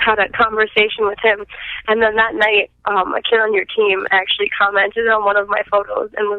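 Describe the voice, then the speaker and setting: At a fairly quick pace, the speaker talks with a strong Minnesotan accent. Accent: thick Minnesotan. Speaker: robotics team member. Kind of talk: casual interview.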